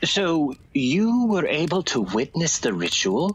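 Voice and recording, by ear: Slowly and with big pitch swings, a man performs a put-on character voice at a fairly high pitch with a slightly husky edge.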